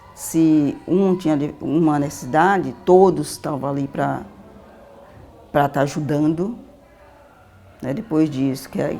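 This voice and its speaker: Music plays in the background as a woman with a very deep, low pitch speaks at a fairly slow pace. She uses ordinary pitch variation and takes long, frequent pauses. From Vale do Jequitinhonha, Minas Gerais, Brazil. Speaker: social educator. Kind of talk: interview answer.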